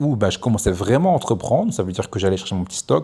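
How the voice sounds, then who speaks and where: A man speaks with a Belgian accent. His pitch sits in the medium range. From Belgium (Namur, Brussels). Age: 30s. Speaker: entrepreneur vlogger. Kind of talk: casual monologue vlog. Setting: outdoors on a beach. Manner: hesitant, many fillers.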